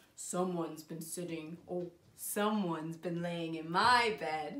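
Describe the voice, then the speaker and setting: At a middle pitch, the speaker performs a put-on character voice at a fairly slow pace. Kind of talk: bedtime story. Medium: read story.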